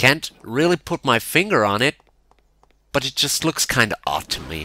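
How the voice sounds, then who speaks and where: Heard in a very clean recording with a silent background, a man speaks at a fairly slow pace in a bright, sharp tone with vocal fry and very wide pitch swings. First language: not English. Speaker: video game reviewer. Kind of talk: commentary over gameplay. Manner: casual.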